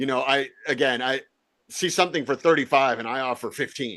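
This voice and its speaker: A man's fairly high voice with an American accent, fairly quick pace and fairly even intonation against a quiet background. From Virginia. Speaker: real estate investor and podcast host. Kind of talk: casual interview chat. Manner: fast, repetitive, many restarts.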